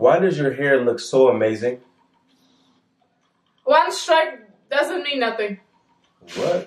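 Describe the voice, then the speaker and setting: In an American accent and an upbeat, playful tone, the speaker goes at a very slow pace with long, frequent pauses and audible room echo. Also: man. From United States. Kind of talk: casual talk to camera. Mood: playful, laughing. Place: home room. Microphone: camera far.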